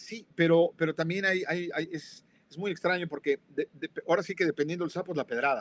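In a dry, close sound with no echo, a man with a high pitch speaks at a fairly quick pace with fairly even intonation and big swings in loudness. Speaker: co-host. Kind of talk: live talk show discussion. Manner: jovial.

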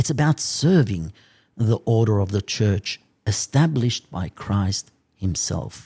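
Dark and mellow in tone, a man's fairly low, somewhat breathy voice moves at a fairly slow pace with lively intonation. The sound is dry and close, with no echo. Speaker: priest. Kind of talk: sermon.

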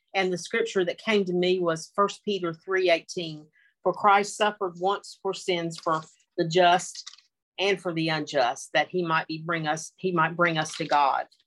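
A woman speaks at a moderate pace with a Southern US accent. Her pitch sits fairly low. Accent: Southern American. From US South (North Carolina). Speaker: Bible study participant. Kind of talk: Bible study discussion. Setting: video call. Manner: halting.

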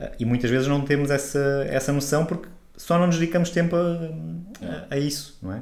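Despite long, frequent pauses, a man keeps a fairly quick pace, his fairly high voice showing ordinary pitch variation amid audible room echo. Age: 40s. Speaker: holistic therapist and podcast co-host. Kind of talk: casual chat.

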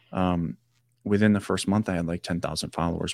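In an American accent, a man speaks at a fairly quick pace with very deep, low pitch and fairly even intonation. The recording is very clean with a silent background, and the sound is dry and close with no echo. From US Midwest, Wisconsin. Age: 30s. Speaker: army veteran and mental health coach. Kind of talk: interview. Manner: halting.

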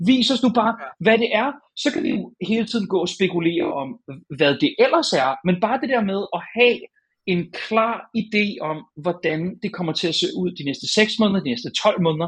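Very wide pitch swings at a moderate pace. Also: man, high pitch for a man. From Denmark, North Zealand (Hornbæk). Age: 30s. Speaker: games journalist. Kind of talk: casual chat.

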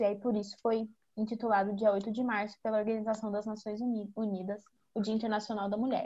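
This woman's voice, fairly high and somewhat breathy, moves at a moderate pace. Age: 20s. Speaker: gerontologist. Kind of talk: casual chat.

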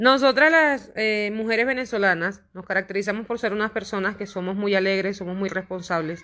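Speaking at a fairly quick pace, a woman has a bright, sharp tone, medium pitch and ordinary pitch variation. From Venezuela, Trujillo state. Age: 30s. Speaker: Venezuelan migrant, tattoo artist. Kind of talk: testimony and cultural presentation.

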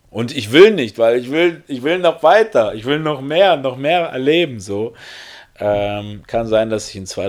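A man at medium pitch, very wide pitch swings, an animated tone and a moderate pace. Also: big swings in loudness. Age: 30s. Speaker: podcast host. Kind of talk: solo podcast monologue. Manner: halting.

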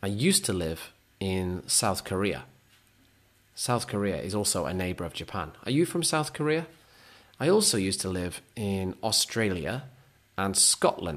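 A man with a Lancashire accent, fairly low pitch, very wide pitch swings, moderate pace and long, frequent pauses, on a very clean recording with a silent background. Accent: northern English (Lancashire). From northern England, Lancaster, Lancashire. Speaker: English teacher podcaster. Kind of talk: English-learning monologue. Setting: home recording, heater noise.

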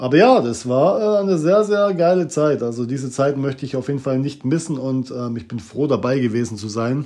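Speaking at a moderate pace with hardly any pauses, a man uses lively intonation, a medium pitch and a dark, mellow tone. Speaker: podcaster. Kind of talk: casual monologue. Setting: bathroom at home.

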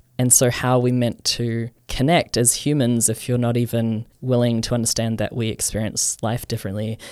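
Monotone, flat speech in a New Zealand accent at a moderate pace with hardly any pauses, on a very clean recording with a silent background. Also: man, medium pitch for a man. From New Zealand (Auckland, west). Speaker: anarchist group member, podcast co-host. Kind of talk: casual discussion.

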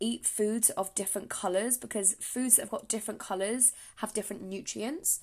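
A woman's fairly high, dark, mellow voice in an English accent, upbeat in tone, at a moderate pace over a quiet background. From England. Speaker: podcast host. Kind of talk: solo podcast monologue, casual. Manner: chatty, upbeat.

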